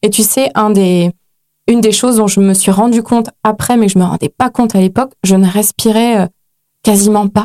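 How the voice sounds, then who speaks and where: A woman at a moderate pace, medium in pitch, with a dark, mellow tone and very even loudness, in a dry, close sound with no echo. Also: fairly even intonation. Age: 30s. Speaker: author and life coach. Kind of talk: casual interview chat.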